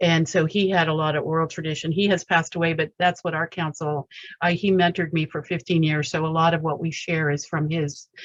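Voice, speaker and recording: A fairly quick woman with a fairly low pitch, monotone, flat intonation and hardly any pauses. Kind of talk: testimony. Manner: fast.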